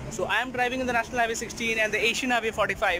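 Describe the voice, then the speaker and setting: The voice is raised and projected at a very fast pace, the sound dry with no echo but with noticeable background noise. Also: man. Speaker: travel vlogger. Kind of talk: casual vlog chat. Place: street. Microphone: phone near.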